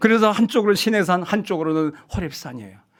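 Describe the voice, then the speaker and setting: This man's intonation is lively. He talks at a fairly quick pace. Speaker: pastor. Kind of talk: seminar lecture. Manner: fast.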